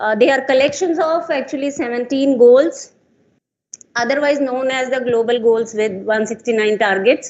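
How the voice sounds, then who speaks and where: Loud and high-pitched, a woman speaks at a moderate pace. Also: ordinary pitch variation. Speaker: conference speaker. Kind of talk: conference talk. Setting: stage with audience.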